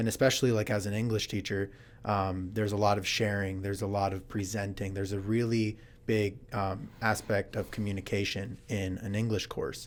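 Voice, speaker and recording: Speaking at a fairly quick pace, a man has an American accent and fairly low pitch. His intonation is monotone and flat. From United States. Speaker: English teacher. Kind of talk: casual chat. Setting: studio.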